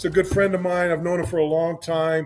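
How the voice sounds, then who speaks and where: A man's high-pitched, monotone voice, flat in intonation and very fast, with music in the background. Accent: American. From San Francisco Bay Area, California. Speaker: podcast host. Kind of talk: casual podcast conversation.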